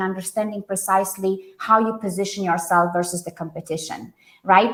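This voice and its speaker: A woman speaks with a Romanian accent. Her pace is fairly quick. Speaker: branding consultant. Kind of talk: podcast interview.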